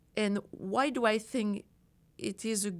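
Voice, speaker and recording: This woman speaks in a French accent. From France. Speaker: design professor. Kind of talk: interview. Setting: studio.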